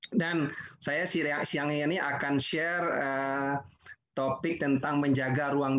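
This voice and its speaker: A man with a normal speaking voice, medium pitch, fairly even intonation, and a fairly slow pace against a quiet background. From West Sumatra, Indonesia (Padang Pariaman); West Sumatra. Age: 50s. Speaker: digital business professional; webinar presenter. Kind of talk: webinar presentation. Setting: video call webinar, working from home. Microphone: video call.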